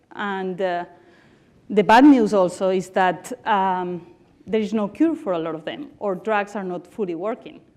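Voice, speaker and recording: At a fairly slow pace, a woman in a Barcelona accent speaks with lively intonation and big swings in loudness at a medium pitch. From Spain, Barcelona. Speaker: tech company CEO and founder. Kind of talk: conference talk.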